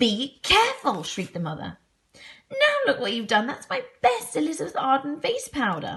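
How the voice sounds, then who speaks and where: A shrill, high-pitched, female-sounding put-on character voice, raised and projected, at a moderate pace. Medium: read story. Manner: shrieking.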